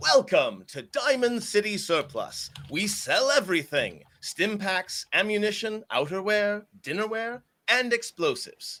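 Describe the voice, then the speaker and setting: In a put-on, robotic character voice, a man speaks at a high pitch and a moderate pace. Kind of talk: formal, shopkeeper greeting. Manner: polite.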